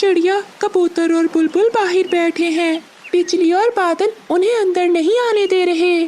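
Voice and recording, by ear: An extremely high, cartoonish character voice speaks at a fairly slow pace. Background noise is clearly heard.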